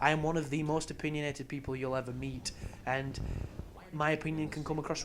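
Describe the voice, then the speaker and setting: The speaker has an English accent. Noticeable background noise is present. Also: man. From England. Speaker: video game commentator. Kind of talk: game walkthrough commentary. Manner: casual.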